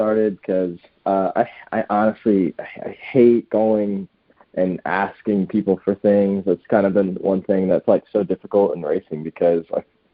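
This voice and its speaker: With an American accent, a man talks at a moderate pace in a fairly low pitch. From South Florida (Broward County). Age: 20s. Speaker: racing driver and NASCAR crew member. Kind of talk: podcast interview. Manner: hesitant, many fillers.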